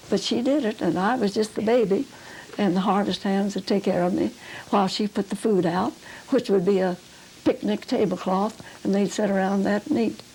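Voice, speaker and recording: Against noticeable background noise, a woman with a rural Oklahoma accent speaks with ordinary pitch variation. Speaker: pioneer settler recounting childhood. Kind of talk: oral history interview. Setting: videotaped interview at home.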